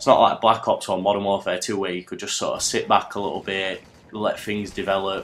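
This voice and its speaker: A fairly low-pitched man talking at a fairly quick pace over background music. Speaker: gaming commentator. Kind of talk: gameplay commentary. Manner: casual.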